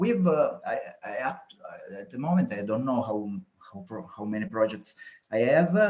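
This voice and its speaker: Speaking at a moderate pace with an Italian accent, a man swings very widely in pitch and greatly in loudness, leaving long, frequent pauses. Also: medium pitch for a man. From Italy, Sicily. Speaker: entrepreneur, newsletter creator. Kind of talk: research interview. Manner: halting, many fillers.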